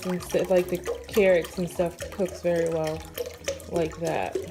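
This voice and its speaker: A woman with a fairly low pitch speaks at a very slow pace. Noticeable background noise is present. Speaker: vlogger, mother. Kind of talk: cooking tutorial.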